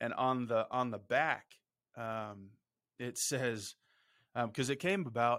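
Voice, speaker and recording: On a very clean recording with a silent background, a man with an unremarkable speaking voice keeps a medium pitch and fairly even intonation. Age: 40s. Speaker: podcast co-host, doctor. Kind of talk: casual chat.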